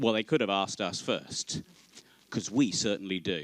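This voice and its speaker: Heard in a dry, close sound with no echo, a man with an English Midlands accent talks at a moderate pace with very wide pitch swings. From Northamptonshire, England. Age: 50s. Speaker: conference chair. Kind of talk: opening speech. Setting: stage with audience. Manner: formal.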